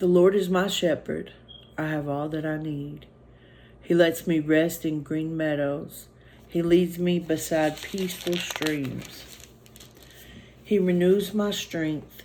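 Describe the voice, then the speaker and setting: Someone with a Southern US accent speaks at a very slow pace, leaving long, frequent pauses over noticeable background noise. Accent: US South. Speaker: trucker and Bible reading vlogger. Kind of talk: Bible reading aloud; casual vlog talk. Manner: halting, rambling with fillers.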